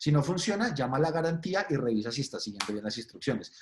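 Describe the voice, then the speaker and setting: A man speaks in a somewhat breathy voice. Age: 40s. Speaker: agile expert speaker. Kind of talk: webinar presentation. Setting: online webinar. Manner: casual, animated.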